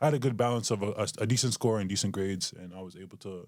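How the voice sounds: Here a man talks fast with a Canadian accent. His pitch is fairly low, with ordinary variation.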